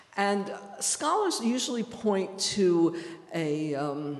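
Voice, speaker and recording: A woman with a New York accent speaks at a very slow pace. Noticeable background noise can be heard. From New York City. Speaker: history professor. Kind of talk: lecture. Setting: stage with audience.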